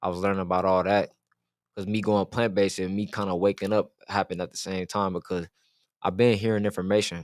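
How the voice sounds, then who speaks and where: Very fast and monotone, a man with an American accent talks at a fairly low pitch, the sound dry and close with no echo on a very clean recording with a silent background. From US West Coast, Oakland, Bay Area. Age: 20s. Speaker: spiritual content creator. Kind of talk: casual interview chat.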